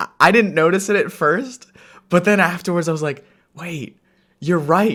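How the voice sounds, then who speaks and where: A man talks at a fairly slow pace. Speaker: vlogger. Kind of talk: casual monologue to camera. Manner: halting, many fillers and restarts.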